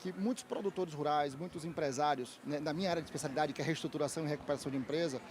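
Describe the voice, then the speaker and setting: A man speaks at a very fast pace. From Brazil, Bahia (Salvador). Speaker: lawyer and business trainer. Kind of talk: interview. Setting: trade fair stand.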